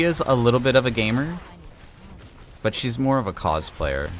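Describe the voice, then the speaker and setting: Quiet and lively in intonation, a man speaks at a medium pitch. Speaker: video game streamer. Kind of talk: casual chat. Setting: home studio. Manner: quieter, closer to mic.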